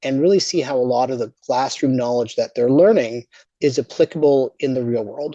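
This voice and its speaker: Dry and close with no echo, the voice has a dark, mellow tone, moves at a fairly quick pace and shows ordinary pitch variation. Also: man. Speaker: business school dean. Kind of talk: virtual presentation. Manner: fast; repeats words, fillers.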